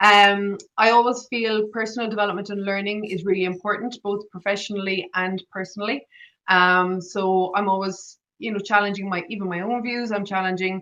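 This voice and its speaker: In an Irish accent, a woman speaks at medium pitch with a bright, sharp tone. Her intonation is monotone and flat. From Ireland. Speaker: agile coach and public speaker. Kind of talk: online presentation. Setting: online talk. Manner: fast.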